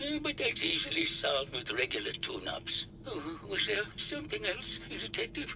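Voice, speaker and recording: A man talks in a put-on character voice at a moderate pace. Loud background noise runs underneath. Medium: video game. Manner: halting, full of uh fillers.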